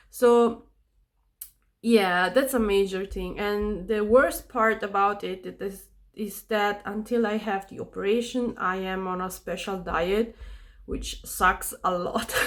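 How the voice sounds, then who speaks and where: A woman with a non-native accent speaks at a very slow pace, her pitch medium and her intonation fairly even. Her loudness swings widely. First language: not English. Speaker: vlogger. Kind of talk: casual chat. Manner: halting.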